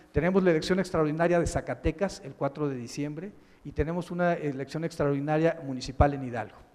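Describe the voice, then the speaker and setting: A fairly high-pitched man talks at a very fast pace with big swings in loudness. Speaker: public prosecutor. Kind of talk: keynote lecture. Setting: conference with audience. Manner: monotone; halting.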